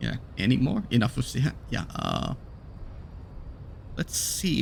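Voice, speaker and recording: A man speaks with a non-native accent. He goes at a fairly slow pace. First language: not English. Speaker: gaming YouTuber. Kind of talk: let's play commentary. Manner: hesitant, many fillers.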